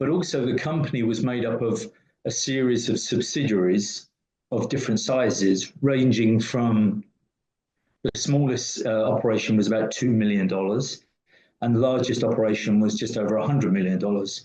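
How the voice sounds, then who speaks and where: With a British accent, a man speaks at medium pitch and a moderate pace, his dark, mellow tone showing ordinary pitch variation. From UK. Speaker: business consultant. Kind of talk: interview.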